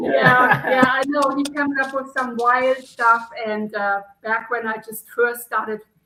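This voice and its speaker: Speaking at a fairly slow pace with hardly any pauses, a woman uses a high pitch and fairly even intonation. Her loudness swings in big ways. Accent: German. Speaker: outdoor content creator. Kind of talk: casual chat.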